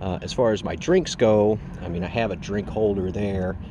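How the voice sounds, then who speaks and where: The speaker goes at a moderate pace with ordinary pitch variation. The sound is dry with no echo, over loud background noise. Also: man. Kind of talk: casual tutorial. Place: street. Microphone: phone near.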